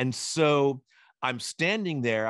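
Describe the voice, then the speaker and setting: Against a quiet background, a man's animated, bright, sharp tone comes through dry and close with no echo. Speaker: eDiscovery legal educator and moderator. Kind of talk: casual storytelling in an interview answer. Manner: animated, fast, humorous.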